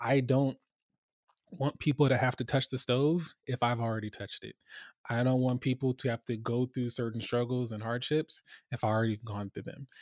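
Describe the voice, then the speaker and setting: A man speaks in a plain, everyday voice at a medium pitch and a moderate pace. The recording is very clean with a silent background and a dry, close sound with no echo. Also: fairly even intonation. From US West Coast, Los Angeles. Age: 30s. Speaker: information security executive. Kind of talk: interview.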